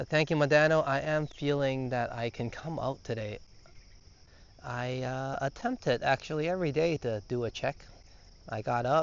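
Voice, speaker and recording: A quiet man with a Canadian accent, medium pitch, ordinary pitch variation and a moderate pace. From Canada, Toronto. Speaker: travel vlogger. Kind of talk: live-stream walking vlog. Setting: outdoors. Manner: softer, quieter.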